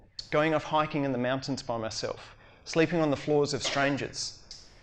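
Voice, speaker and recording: An Australian-accented man at a fairly high pitch and moderate pace, with audible room echo. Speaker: educator and humanitarian speaker. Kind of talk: conference talk.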